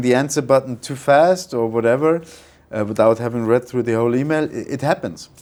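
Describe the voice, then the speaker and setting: A man with a non-native accent talks at a fairly quick pace, using a medium pitch and ordinary pitch variation amid noticeable background noise. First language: not English. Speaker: freight forwarding network manager. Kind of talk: business interview. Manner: hesitant, many fillers.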